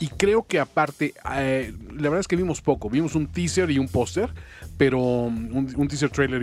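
With music in the background, a man speaks at a moderate pace and medium pitch. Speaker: radio host. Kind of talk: casual chat. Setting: studio.

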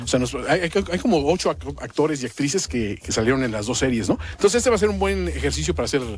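Fairly quick and full of very wide pitch swings, the man's medium-pitched voice shows vocal fry. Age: older than co-hosts. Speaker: radio co-host. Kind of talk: casual chat.

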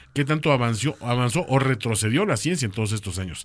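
With lively intonation and a fairly quick pace, a man at medium pitch uses an ordinary speaking voice in a very clean recording with a silent background. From Mexico City. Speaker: podcast co-host. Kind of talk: casual chat.

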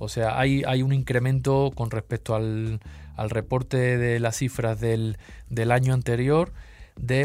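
A medium-pitched man speaking at a very slow pace with ordinary pitch variation, on a very clean recording with a silent background. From Seville, Spain. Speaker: watch magazine editor. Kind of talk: casual chat.

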